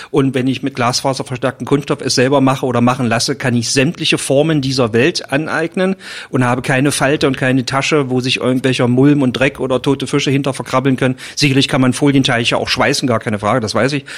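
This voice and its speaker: Over noticeable background noise, a man talks at a very fast pace with hardly any pauses and fairly even intonation. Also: medium pitch for a man. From Magdeburg, eastern Germany. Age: 50s. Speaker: forester. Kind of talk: casual interview.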